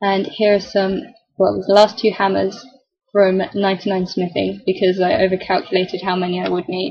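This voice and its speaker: A woman's somewhat breathy voice at medium pitch, moderate pace, and flat, monotone intonation. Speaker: gamer. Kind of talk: game commentary. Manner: casual, chatty. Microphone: laptop keyboard microphone.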